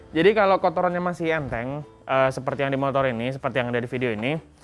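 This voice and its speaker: Faint music plays behind a man's voice. His pitch varies in an ordinary way. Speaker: product demonstrator. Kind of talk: tutorial. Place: street. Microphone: lapel.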